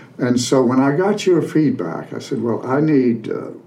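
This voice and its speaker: This man speaks at a fairly slow pace with ordinary pitch variation. Audible room echo and noticeable background noise surround him. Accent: Appalachian. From Western North Carolina mountains (Canton). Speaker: retired sociology professor and author. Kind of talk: casual interview.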